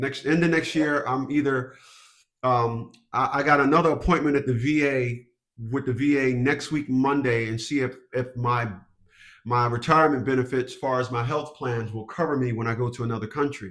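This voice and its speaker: With a normal speaking voice, a man of medium pitch talks at a moderate pace with fairly even intonation. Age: 60s. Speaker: family court consultant and army veteran. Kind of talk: consultation call.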